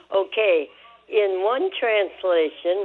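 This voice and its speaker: Here is a woman with an American accent. Her voice sits at a medium pitch. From US Midwest, Michigan. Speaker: caller. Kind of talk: phone-in question. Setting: phone call.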